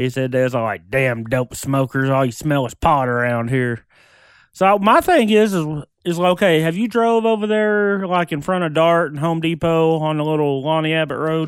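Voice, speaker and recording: A man's relaxed voice at a moderate pace, with lively intonation. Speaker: co-host guest. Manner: profane, relaxed.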